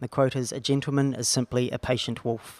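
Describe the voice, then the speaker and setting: A man with a New Zealand accent at a fairly quick pace, fairly even intonation, and a very clean recording with a silent background. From New Zealand (small town). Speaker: distillery co-founder. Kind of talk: casual interview.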